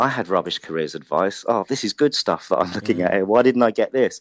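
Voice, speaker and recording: A man with a slight London accent, a fairly quick pace and ordinary pitch variation. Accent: London (Hackney), slight. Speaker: careers organisation founder. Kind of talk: casual interview.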